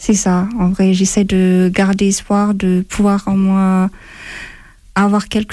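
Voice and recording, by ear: A woman speaks at a fairly slow pace, her medium pitch carrying a dark, mellow tone.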